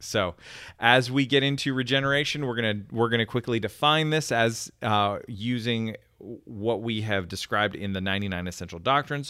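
At a moderate pace, a man speaks in a normal speaking voice, holding a medium pitch with ordinary pitch variation. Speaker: podcast host. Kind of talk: casual chat.

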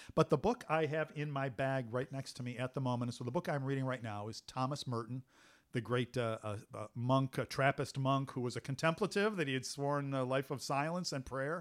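An American accent marks this man's plain, everyday voice. His pitch is medium, with ordinary variation. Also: fairly quick pace. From US Midwest, Cleveland, Ohio. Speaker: military historian. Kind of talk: casual interview conversation.

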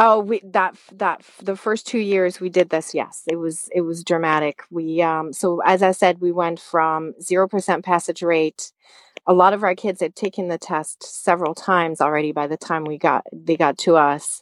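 A woman with a French accent talks at a moderate pace with hardly any pauses, using a fairly low pitch and fairly even intonation. The sound is dry and close with no echo, and her loudness swings widely. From France. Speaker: high school math teacher. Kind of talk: interview.

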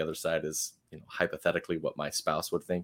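Words pour out of a man at a very fast pace. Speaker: podcast host. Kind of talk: interview about his podcast and life.

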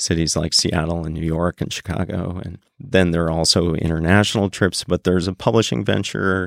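With an American accent, the speaker keeps a moderate pace and ordinary pitch variation in a dry, close sound with no echo. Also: man. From northern rural Wisconsin. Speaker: writer and tour guide. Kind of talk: interview.

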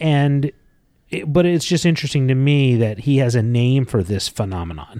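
This man's voice sits at a medium pitch, with lively intonation and an animated tone. He talks at a moderate pace. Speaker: podcast co-host. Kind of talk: casual chat. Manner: joking, animated.

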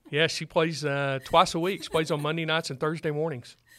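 A man with a Texan accent talks at a moderate pace with fairly high pitch. His tone is bright and sharp, and his intonation stays monotone and flat. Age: 50s. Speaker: financial advisor, firm founder. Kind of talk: interview. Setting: studio.

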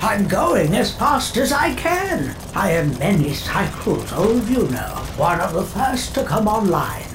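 A put-on character voice speaks at a fairly slow pace. Loud background noise runs underneath. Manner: gentle, poetic, serene.

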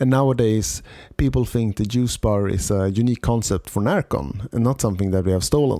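A man with a Swedish accent and a dark, mellow tone speaks at a fairly quick pace, fairly low in pitch with ordinary variation, on a very clean recording with a silent background. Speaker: podcast host, event organizer. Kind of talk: solo podcast monologue.

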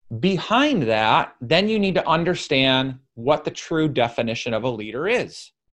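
The voice moves through very wide pitch swings. The background is quiet. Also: man, fairly high pitch for a man, moderate pace. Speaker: podcast host and business coach. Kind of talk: solo Q and A monologue. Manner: loud; animated.

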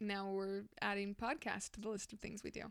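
A woman talks at a moderate pace in an unremarkable speaking voice, her pitch medium. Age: 20s. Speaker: podcast co-host. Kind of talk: casual chat. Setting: studio.

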